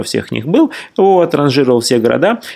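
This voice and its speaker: A man speaks in a normal speaking voice at a moderate pace, his intonation lively. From Russia. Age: 40s. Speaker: traveller and writer. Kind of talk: interview.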